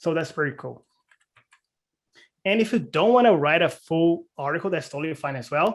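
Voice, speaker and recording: Speaking with a non-native accent at a moderate pace, a man with a fairly high pitch uses lively intonation and long, frequent pauses. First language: not English. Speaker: cloud community presenter. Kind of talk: presentation. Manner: hesitant, many fillers.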